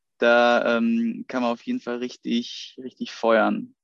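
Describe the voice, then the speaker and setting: A man at a very slow pace, in a dry, close sound with no echo. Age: 30s. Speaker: personal trainer podcast host. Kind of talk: casual chat.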